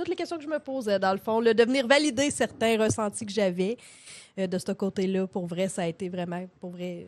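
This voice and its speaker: A woman's unremarkable speaking voice, medium-pitched, at a fairly quick pace against a quiet background. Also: lively intonation. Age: 30s. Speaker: podcast co-host, hairdresser. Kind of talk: casual chat. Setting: live stream from home studio.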